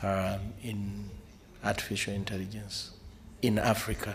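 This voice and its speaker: A speaker with a Ugandan accent goes at a fairly slow pace, with long, frequent pauses. The delivery is somewhat breathy, with monotone, flat intonation. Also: man. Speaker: member of parliament. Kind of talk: question at a seminar.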